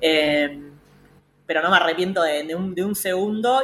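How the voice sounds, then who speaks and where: A woman speaks fairly quickly in a bright, sharp tone. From Argentina, Pilar (Buenos Aires province). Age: 30s. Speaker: feminist politician and government official. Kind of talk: radio interview. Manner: halting, many fillers and repetitions.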